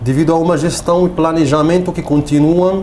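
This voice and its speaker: Amid noticeable background noise and audible room echo, a man speaks. His fairly high pitch moves at a moderate pace with fairly even intonation. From Morocco. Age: 30s. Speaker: political activist, refugee. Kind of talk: TV interview, partly reading prepared text. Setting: TV studio. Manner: halting, basic Portuguese.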